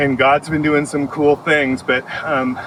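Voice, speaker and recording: Against noticeable background noise, a man talks fairly slowly at a fairly high pitch. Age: 60s. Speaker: farm owner. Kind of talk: personal testimony. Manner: halting, many fillers.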